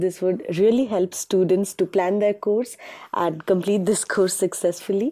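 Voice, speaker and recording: Over a quiet background, a woman speaks at a moderate pace in a medium pitch, her dark, mellow tone carrying fairly even intonation. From India. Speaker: student interviewer. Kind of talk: interview. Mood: polite, friendly. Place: studio. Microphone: lapel.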